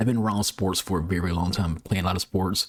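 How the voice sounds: A man talks in a low voice with fairly even intonation.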